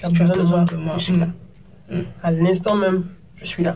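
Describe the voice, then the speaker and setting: A woman speaks at a medium pitch with a dark, mellow tone. Her voice is somewhat breathy and her intonation monotone and flat. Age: 30s. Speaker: TV presenter and media entrepreneur. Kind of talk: casual interview conversation.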